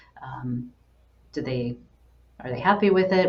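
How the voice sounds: Audible room echo surrounds a woman speaking at a low pitch.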